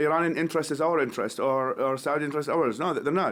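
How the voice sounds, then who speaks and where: A man talks at a very fast pace with an Iraqi accent and fairly high pitch. His pitch varies an ordinary amount on a very clean recording with a silent background. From Iraq, West Baghdad. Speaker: human rights activist, nonprofit founder. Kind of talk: podcast interview. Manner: halting, many repetitions.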